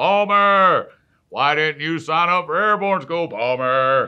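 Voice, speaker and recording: A man shouting in a put-on character voice, high-pitched and at a fairly slow pace. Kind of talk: military, gruff. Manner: barking, shouting.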